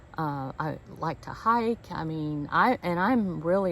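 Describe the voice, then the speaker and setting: A woman speaks at a fairly low pitch with ordinary pitch variation. Noticeable background noise runs behind her. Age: 60s. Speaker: van life vlogger. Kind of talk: casual vlog monologue. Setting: outdoors at a campground. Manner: hesitant, with fillers and repeats.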